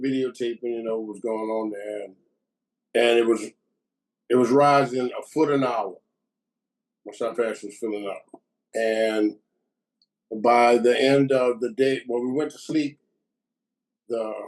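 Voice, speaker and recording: With a New Orleans accent, a man speaks at medium pitch and a fairly slow pace, leaving long, frequent pauses. His intonation is fairly even, while his loudness swings a lot. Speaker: war veteran. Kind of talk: testimony.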